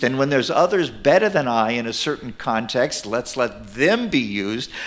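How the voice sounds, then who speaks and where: A man with a normal speaking voice, lively intonation and a moderate pace. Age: 60s. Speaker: minister and ministry leader. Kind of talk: sermon. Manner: conversational, with fillers.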